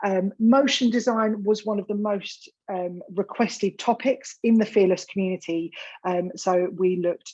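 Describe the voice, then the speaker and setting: A woman with an Essex accent, medium pitch, a dark, mellow tone and a moderate pace. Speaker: event host. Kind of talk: event introduction.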